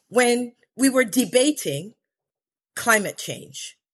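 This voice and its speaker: Here a woman speaks at a high pitch. Her pace is very slow. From Belize. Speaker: corporate board director. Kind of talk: interview.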